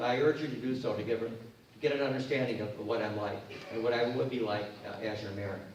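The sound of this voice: Under strong room echo, a man talks at a fairly quick pace with a medium pitch and fairly even intonation.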